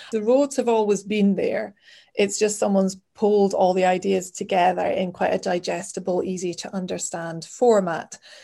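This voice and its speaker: A woman speaks at a moderate pace with a northeast Scottish accent, her medium-pitched voice dark and mellow in tone, the intonation fairly even. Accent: Scottish (north-east). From Scotland, Aberdeen. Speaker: travel blogger. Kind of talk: casual chat.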